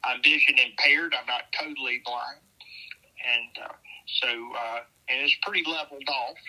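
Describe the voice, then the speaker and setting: A man with a Southern US accent at a fairly slow pace. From US South. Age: 70s. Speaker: navy veteran. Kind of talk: interview. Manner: hesitant, many fillers.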